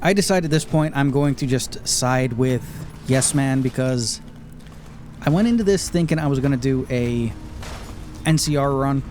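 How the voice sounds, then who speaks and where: A man's fairly high-pitched voice at a moderate pace, with very even loudness, ordinary pitch variation, long, frequent pauses and noticeable background noise. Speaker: gaming YouTuber. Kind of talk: unscripted gameplay commentary. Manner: casual, off the cuff.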